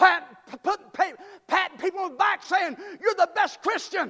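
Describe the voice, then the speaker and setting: In a raised, projected voice, a man talks at a moderate pace with an animated, stern tone that is bright and sharp. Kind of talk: sermon. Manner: fervent and exultant, punchy repetition building to shouts.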